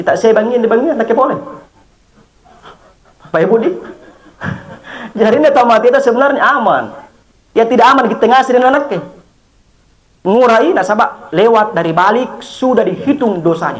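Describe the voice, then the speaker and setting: At a fairly quick pace broken by long, frequent pauses, a man speaks in an extremely high pitch with very even loudness and lively intonation. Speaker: Islamic preacher. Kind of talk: funeral sermon.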